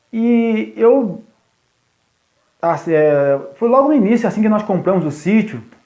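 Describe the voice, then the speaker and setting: A man with a high-pitched voice speaks with lively intonation and long, frequent pauses, and the room echo is audible. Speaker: youth pastor. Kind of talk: live stream talk to church youth. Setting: live stream from phone. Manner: deliberately slow, paced. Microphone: phone connection lagging.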